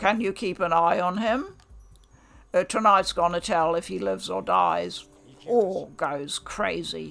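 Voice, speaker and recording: A woman puts on a character voice that is raspy and growling. She speaks at a fairly slow pace. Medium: read story. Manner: curt, commanding.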